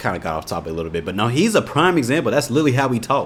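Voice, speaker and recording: The tone is relaxed, with very wide pitch swings. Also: man. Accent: slight Indiana. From Indianapolis, Indiana, US Midwest. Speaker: YouTube reaction creator. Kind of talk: casual reaction commentary. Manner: relaxed, conversational.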